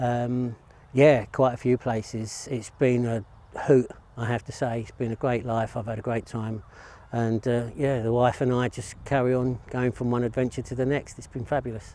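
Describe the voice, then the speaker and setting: Through noticeable background noise, a man with a Cockney accent speaks at a moderate pace and medium pitch in a monotone, flat intonation. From East London, England. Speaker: golf teaching professional. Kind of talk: interview answers. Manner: hesitant, many fillers.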